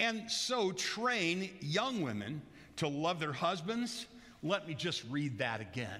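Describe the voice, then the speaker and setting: A man with a high pitch and very wide pitch swings, speaking very slowly in a bright, sharp tone, with audible room echo. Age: 60s. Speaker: pastor. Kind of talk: sermon. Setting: church. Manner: loud; animated.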